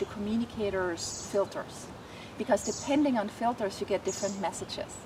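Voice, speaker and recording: A woman with a non-native accent and a fairly high pitch, ordinary pitch variation and a fairly quick pace, against noticeable background noise. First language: not English. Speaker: animal communicator. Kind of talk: interview.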